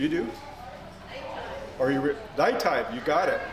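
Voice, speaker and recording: A man's voice with noticeable background noise. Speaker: storyteller. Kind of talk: oral storytelling to a live family audience. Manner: conversational, hesitant.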